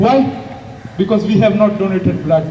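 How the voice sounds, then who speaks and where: A man shouts loudly in a room with audible echo. Noticeable background noise runs underneath. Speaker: medical student giving a speech. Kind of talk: public speech. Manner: loud, shouting; impassioned, rhetorical.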